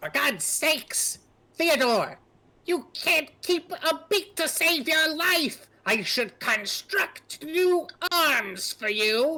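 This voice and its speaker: This put-on character voice is shrill and high-pitched. It moves at a very slow pace. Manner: scolding, exasperated.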